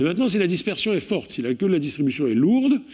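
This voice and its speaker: A man's dark, mellow voice with very wide pitch swings, against a quiet background. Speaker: mathematics professor. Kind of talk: lecture. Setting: stage with audience. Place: hall.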